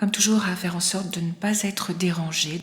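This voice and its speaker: A woman speaks in a calm tone at a medium pitch. Her intonation stays fairly even. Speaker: clinical psychologist and hypnotherapist. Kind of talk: guided hypnosis relaxation session. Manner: slow, soft-spoken, calm.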